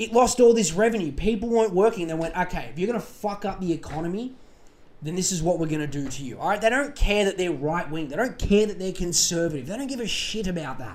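Very fast and animated, a man with an Australian accent talks in a high voice with lively intonation. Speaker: solo podcast host. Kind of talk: casual monologue.

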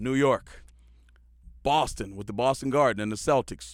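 A man's medium-pitched voice with vocal fry, with an American accent, at a moderate pace with ordinary pitch variation. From Houston, Texas. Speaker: sports analyst, former college basketball player and coach. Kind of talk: casual monologue podcast. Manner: animated, conversational with fillers.

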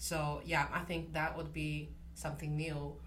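Speaking at a fairly slow pace with a Chinese accent, a woman is heard with audible room echo. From China. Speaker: literature graduate student. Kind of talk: interview. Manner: halting, many fillers.

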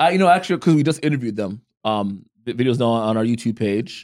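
On a very clean recording with a silent background, a man of medium pitch talks at a very fast pace with lively intonation. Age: 40s. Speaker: podcast co-host. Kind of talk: casual chat. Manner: direct.

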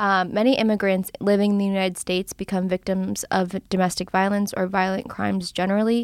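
In a very clean recording with a silent background and a dry, close sound with no echo, a woman talks at a moderate pace at medium pitch in an ordinary speaking voice. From Philadelphia area, US. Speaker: law student podcast host. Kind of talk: podcast introduction.

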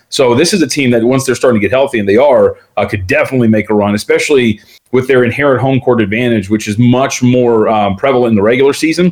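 Talking at a very fast pace, a man with a medium-pitched voice and an American accent keeps his loudness very even and his pitch variation ordinary. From Las Vegas, Nevada, US. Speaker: sports betting analyst and radio host. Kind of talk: interview. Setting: video call.

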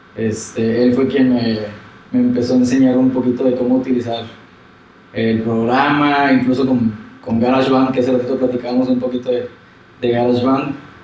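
A man with a medium-pitched voice speaks at a moderate pace in a flat monotone, his loudness very even, over noticeable background noise with audible room echo. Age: 30s. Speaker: musician and lawyer. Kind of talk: casual interview chat. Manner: halting, many fillers and repetitions.

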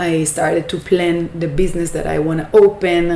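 In an Israeli accent, a woman speaks at a moderate pace with a fairly low pitch against noticeable background noise. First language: Hebrew. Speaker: business owner. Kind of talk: interview.

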